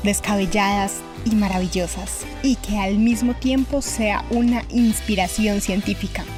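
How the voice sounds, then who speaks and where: Over music in the background, a woman with a Colombian accent speaks at a fairly slow pace. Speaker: radio host. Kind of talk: podcast narration.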